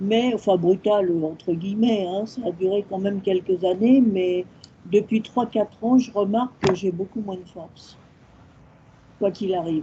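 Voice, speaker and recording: A somewhat breathy woman's voice at medium pitch, dark and mellow, fairly slow and fairly even in intonation, with big swings in loudness. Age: 70s. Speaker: audience member asking questions. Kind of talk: audience question. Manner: hesitant.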